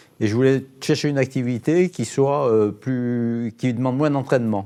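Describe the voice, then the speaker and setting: Fairly even intonation from a man with a dark, mellow tone. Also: medium pitch for a man, moderate pace. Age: 70s. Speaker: amateur triathlete. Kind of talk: TV interview. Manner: halting, many hesitations.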